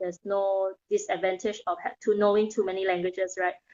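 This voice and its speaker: A woman with a Thai accent, medium pitch and a moderate pace. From Thailand. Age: 30s. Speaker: mindset coach. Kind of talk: interview.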